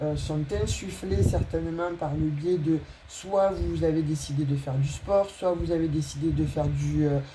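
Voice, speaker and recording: A woman talks fairly slowly while noticeable background noise can be heard. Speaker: tarot reader. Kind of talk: tarot reading for viewers; channel announcement. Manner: hesitant, many fillers.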